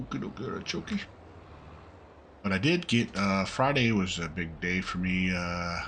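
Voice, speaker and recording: The speaker keeps a relaxed tone at a moderate pace, with ordinary pitch variation and long, frequent pauses. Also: man, very deep, low pitch for a man. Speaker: gaming YouTuber. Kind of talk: casual gameplay commentary. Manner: relaxed, with many fillers.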